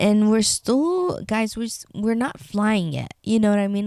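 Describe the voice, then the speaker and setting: Her tone is dark and mellow. The woman speaks with a Spanish accent and ordinary pitch variation. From Tecate, Baja California, Mexico. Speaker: podcaster. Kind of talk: casual chat. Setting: bedroom. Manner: halting.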